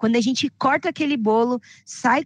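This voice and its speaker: In a dry, close sound with no echo and a quiet background, a woman talks at a moderate pace in an animated tone. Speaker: health insurance sales trainer. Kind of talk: online sales training.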